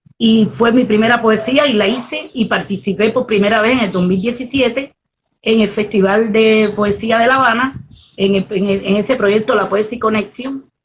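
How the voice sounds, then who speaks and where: Speaking with a Cuban accent, a woman uses a fairly high pitch, fairly even intonation, very even loudness and a moderate pace. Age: 60s. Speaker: poet and Afro-Cuban priestess. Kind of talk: interview conversation.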